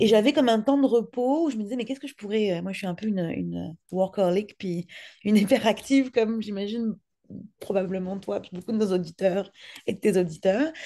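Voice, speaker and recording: A woman speaks with a dark, mellow tone. Her loudness swings widely. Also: ordinary pitch variation, fairly quick pace. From France. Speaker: podcast producer, entrepreneur; podcast producer. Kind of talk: interview. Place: home room. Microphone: video call.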